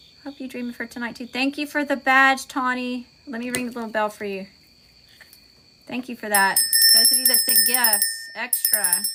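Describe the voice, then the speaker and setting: Against noticeable background noise, a woman with an American accent speaks at a high pitch with fairly even intonation and long, frequent pauses. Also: moderate pace. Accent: Southern US, stronger right now. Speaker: tarot reader and spiritual content creator. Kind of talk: livestream sign-off to viewers. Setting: live stream. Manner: casual, folksy; occasional stumbles over words.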